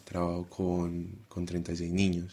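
The man's voice is very deep and low in pitch. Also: very clean recording, silent background. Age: 20s. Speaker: primary school teacher. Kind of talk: casual chat.

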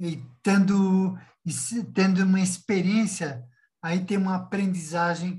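This man's voice sits high in pitch, with ordinary pitch variation. He talks at a very slow pace, and audible room echo is present. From Brazil, São Paulo city. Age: 60s. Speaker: entrepreneur, former state secretary. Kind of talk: casual chat. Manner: halting; animated.

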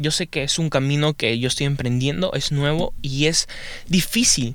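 Pitch variation stays ordinary while the words come at a moderate pace. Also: man. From Peru. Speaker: podcaster. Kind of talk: casual monologue. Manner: halting.

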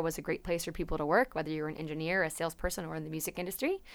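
Fairly low in pitch, a woman speaks with an American accent and fairly even intonation. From Napa, California. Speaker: podcast co-host. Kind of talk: casual chat.

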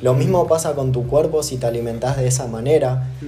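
Over music in the background and audible room echo, a man of medium pitch speaks at a fairly quick pace with ordinary pitch variation. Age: 20s. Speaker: podcast co-host, personal development. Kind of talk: casual chat.

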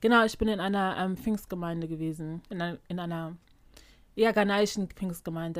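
On a very clean recording with a silent background, a woman speaks in a fairly low pitch. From Germany, Ghanaian community. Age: young adult. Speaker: podcast co-host. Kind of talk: casual chat.

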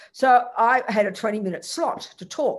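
Someone speaks in an Australian accent. The recording is very clean, with a silent background. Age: 70s. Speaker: Buddhist nun teacher. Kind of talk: Buddhist teaching talk with Q&A. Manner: casual, chatty, humorous.

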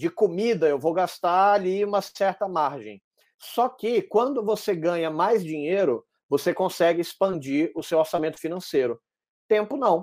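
On a very clean recording with a silent background, a man speaks at a fairly slow pace in a high pitch with lively intonation. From Brazil, Salvador (Bahia). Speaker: entrepreneur and podcaster. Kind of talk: casual interview chat.

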